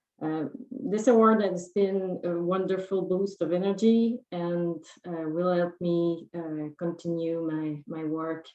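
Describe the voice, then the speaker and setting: A woman speaks at a very slow pace with fairly even intonation. Her pitch sits fairly low. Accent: Quebec. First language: French. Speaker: award recipient. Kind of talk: acceptance speech. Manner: halting with fillers.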